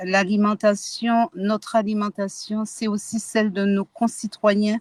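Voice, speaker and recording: A woman with a fairly high, somewhat breathy voice speaks at a very slow pace with ordinary pitch variation, recorded dry and close with no echo. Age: 60s. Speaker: activist. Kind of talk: testimony.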